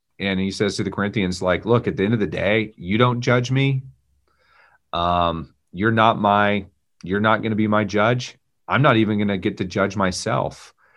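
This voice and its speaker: With a Texan accent, a man of fairly low pitch talks at a moderate pace and varies his pitch in an ordinary way. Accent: Texan American. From Texas. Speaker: pastor and former Marine. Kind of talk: casual interview conversation.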